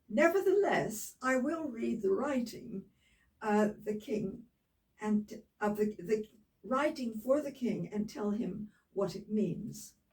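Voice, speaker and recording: This woman speaks at a very slow pace in a somewhat breathy voice. Her pitch is fairly high, with ordinary pitch variation. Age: 80s+. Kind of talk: Bible reading aloud with casual asides.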